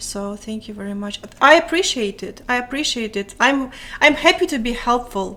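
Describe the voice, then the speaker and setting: A bright, sharp tone in a Ukrainian accent, lively intonation and big swings in loudness at a moderate pace. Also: woman, high pitch for a woman. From Ukraine. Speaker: live streamer. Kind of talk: casual chat. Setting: live stream. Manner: mumbling.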